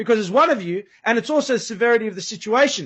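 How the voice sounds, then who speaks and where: An animated man talks at a fairly quick pace in an Australian accent. His intonation is lively. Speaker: guest describing police crackdown, former use-of-force instructor. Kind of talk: interview.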